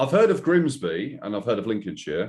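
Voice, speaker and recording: A man speaks with an Estuary English accent. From Essex, England. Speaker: podcast host. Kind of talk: casual chat.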